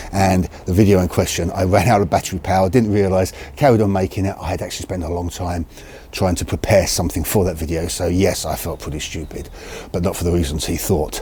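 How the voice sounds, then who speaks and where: A very fast voice with a British accent and ordinary pitch variation over noticeable background noise. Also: man, very deep, low pitch for a man. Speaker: video creator on crossbows. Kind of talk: casual talk to camera. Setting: outdoors in the cold. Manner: halting, self-correcting.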